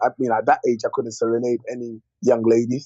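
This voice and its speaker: Speech comes at a fairly quick pace. There is no echo, and the sound is dry and close. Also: man. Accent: London. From West London, England (born DR Congo, moved at eight). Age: 30s. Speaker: comedian. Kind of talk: casual interview chat. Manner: animated, with frequent fillers and repetitions.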